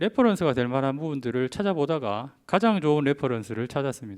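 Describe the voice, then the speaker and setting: His intonation rises and falls in a lively way. The man moves along at a fairly quick pace. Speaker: orthodontist giving a symposium talk. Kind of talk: lecture. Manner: frequent filler hesitations.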